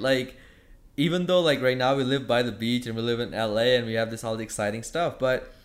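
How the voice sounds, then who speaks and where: Here a man talks at a fairly quick pace in a plain, everyday voice. His pitch sits in the medium range. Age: 20s. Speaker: fitness coach and entrepreneur. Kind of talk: casual chat.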